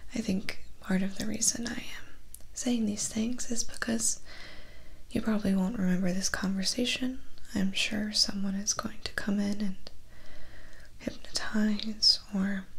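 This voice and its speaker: A woman speaks softly in a flat monotone at a fairly slow pace. Her pauses are long and frequent. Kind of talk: ASMR roleplay monologue. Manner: soft, close ASMR murmur. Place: home room.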